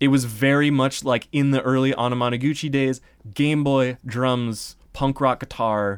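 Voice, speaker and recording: This is an unremarkable speaking voice. It belongs to a man with a medium pitch. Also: very clean recording, silent background. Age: 20s. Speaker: chiptune musician. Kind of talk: interview.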